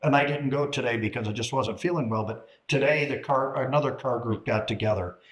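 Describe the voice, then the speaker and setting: A man with an American accent talks at a moderate pace, his fairly high, somewhat breathy voice showing ordinary pitch variation. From US Midwest, Chicago area. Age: 60s. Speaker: retired businessman and car enthusiast. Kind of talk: casual chat. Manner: halting.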